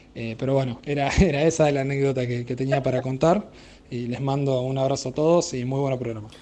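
A man speaks at a fairly quick pace. His pitch sits in the middle range, with fairly even intonation. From Argentina, Pehuajó, Buenos Aires province. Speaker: radio listener sending a voice message. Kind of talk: recorded anecdote for a radio show. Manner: halting, with many fillers.

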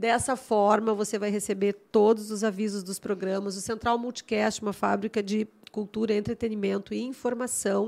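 With a Gaúcho Brazilian accent, a woman talks in a fairly high, monotone, flat pitch with hardly any pauses, captured on a very clean recording against a silent background. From Rio Grande do Sul, Brazil (Porto Alegre). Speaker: podcast host and architect. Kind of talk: casual interview chat. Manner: fast.

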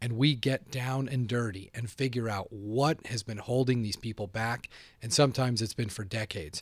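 A man with an American accent in an ordinary speaking voice, medium pitch, fairly even intonation and moderate pace, on a very clean recording with a silent background. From Boston. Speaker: sales trainer. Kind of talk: interview. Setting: studio.

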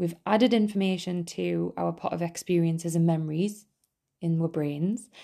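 A woman with a Geordie accent speaks at a moderate pace, her fairly low voice dark and mellow in tone. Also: quiet background. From northeast England. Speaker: podcast host. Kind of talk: scripted-style solo podcast monologue, casual and informal. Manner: casual, humorous, laughs often.

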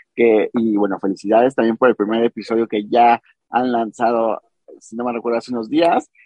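A man with a Mexican accent, medium pitch, and a fairly quick pace. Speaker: podcast host. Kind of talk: interview.

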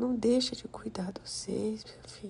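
Using an unremarkable speaking voice, a woman speaks at a fairly slow pace with fairly even intonation. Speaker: grandmother figure, podcast persona. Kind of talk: intimate grandmotherly monologue, warm ASMR-style chat and advice to her 'children'. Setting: recording alone on a phone app, voice only. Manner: gentle, affectionate and soothing, blessing listeners as she winds down.

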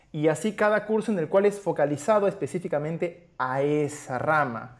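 A man's high-pitched voice at a moderate pace. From Peru, Arequipa. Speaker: podcast host, performing arts graduate. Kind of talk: casual chat.

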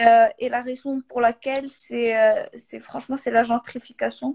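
A woman talks at a moderate pace. Her recording has a dry, close sound with no echo. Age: 20s. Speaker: industrial designer. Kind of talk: casual interview.

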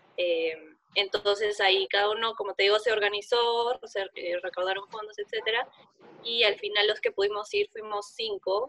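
This woman has an ordinary speaking voice at medium pitch, talking at a moderate pace with fairly even intonation. The sound is dry and close, with no echo. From Peru. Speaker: competitive sport climber. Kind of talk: interview.

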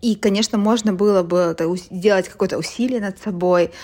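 This woman speaks at a medium pitch. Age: 30s. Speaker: podcast host. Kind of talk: casual chat.

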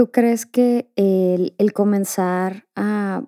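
In a Mexican accent, a woman speaks at a medium pitch with a dark, mellow tone and fairly even intonation. Her sound is dry and close, with no echo. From Mexico. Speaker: podcast host. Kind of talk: casual interview chat.

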